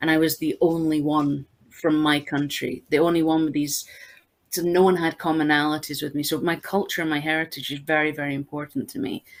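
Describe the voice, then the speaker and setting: With a very deep, low pitch, a woman speaks in a monotone, flat intonation. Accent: Scottish. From Scotland. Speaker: games researcher. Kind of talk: panel discussion.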